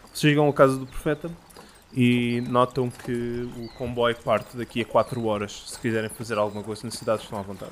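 A man speaks with a medium pitch and fairly even intonation. Noticeable background noise is present. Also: fairly quick pace, big swings in loudness. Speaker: game master of tabletop roleplaying podcast. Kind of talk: game narration.

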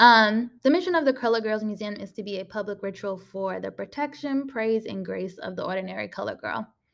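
On a very clean recording with a silent background, a woman in an ordinary speaking voice talks fairly quickly at a fairly high pitch with hardly any pauses, ordinary pitch variation and big swings in loudness. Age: 20s. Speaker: podcast host and artist. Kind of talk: casual solo talk. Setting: recording in a room at an artist residency house. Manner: frequent filler words (um, like).

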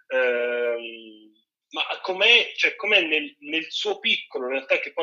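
A man speaking at a fairly slow pace with lively intonation. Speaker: film critic and festival director. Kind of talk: casual chat as radio guest. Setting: remote call from home, sitting on a chair.

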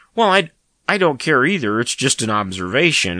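Against a quiet background, a man speaks at a fairly quick pace in a bright, sharp tone. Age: 40s. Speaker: podcast host. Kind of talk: casual chat.

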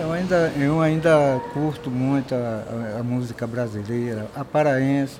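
With audible room echo and noticeable background noise, a man of medium pitch speaks fairly slowly with hardly any pauses and ordinary pitch variation. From Guamá, Belém, Brazil. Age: 60s. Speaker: bar owner. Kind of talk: casual interview. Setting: outdoors at a street bar.

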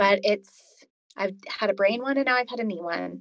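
A woman speaks in a normal speaking voice with a Canadian accent. Her pitch is fairly high and her pace moderate. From Alberta, Canada. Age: 40s. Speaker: chronic illness patient, former paramedic. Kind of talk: interview, personal story.

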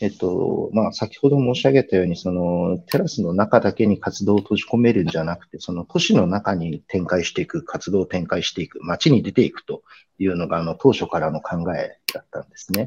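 A normal speaking voice, a man talks fairly quickly at a fairly low pitch with lively intonation, the sound dry and close with no echo over a quiet background. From Kumamoto, Japan. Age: 50s. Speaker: art event planner. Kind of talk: interview conversation.

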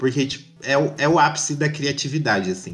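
A man talking at a fairly quick pace over music in the background. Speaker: podcast host. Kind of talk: casual chat.

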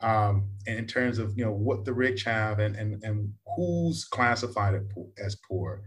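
Speaking at a fairly slow pace with a fairly low pitch, a man with an American accent sounds somewhat breathy, his intonation fairly even. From Texas, US. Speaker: podcast host. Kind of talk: casual chat.

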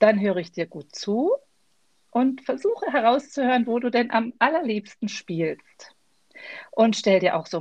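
With a normal speaking voice, a woman talks at a fairly high pitch with ordinary pitch variation. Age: 50s. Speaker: leadership trainer and coach. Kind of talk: interview answers.

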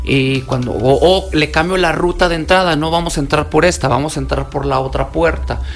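A man talks at a fairly quick pace, with audible room echo and noticeable background noise behind him. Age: 40s. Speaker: security specialist and self-defense instructor. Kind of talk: radio interview. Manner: casual, colloquial.

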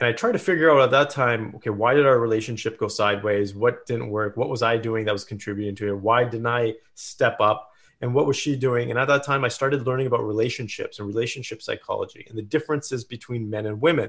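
A man with a Canadian accent speaks very fast at a medium pitch, with hardly any pauses. His intonation stays fairly even. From Canada, small town in British Columbia. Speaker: entrepreneur and performance coach. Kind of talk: interview.

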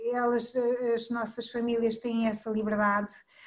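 Speaking at a moderate pace, a woman holds a fairly high pitch in a monotone, flat intonation. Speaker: preschool teacher and coordinator. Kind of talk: casual chat.

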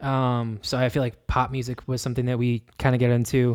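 This man talks at a moderate pace and a medium pitch, his intonation monotone and flat. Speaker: podcast host. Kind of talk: casual chat.

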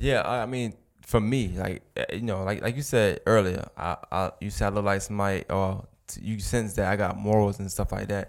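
Speaking with a Brooklyn accent at a moderate pace and with hardly any pauses, a man with a fairly low pitch shows ordinary pitch variation in a very clean recording with a silent background. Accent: New York (Brooklyn). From Brooklyn, New York. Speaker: podcast host, guest here. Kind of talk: casual interview conversation.

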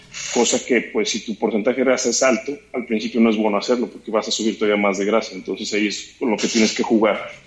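A man with a medium-pitched voice talks at a very fast pace in a flat monotone, hardly pausing, over noticeable background noise. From Mexico, Guadalajara. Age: 30s. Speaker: sports medicine doctor. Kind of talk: casual interview.

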